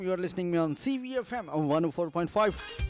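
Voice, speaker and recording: A high-pitched man in an upbeat tone with lively intonation, music in the background. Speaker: radio jockey. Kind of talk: radio show hosting. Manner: upbeat, welcoming.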